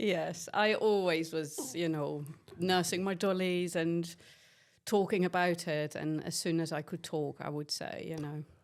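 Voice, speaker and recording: A Dutch accent at a fairly slow pace, fairly even in intonation, on a very clean recording with a silent background. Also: woman, fairly low pitch for a woman. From Netherlands. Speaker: nursing lecturer. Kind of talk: casual interview.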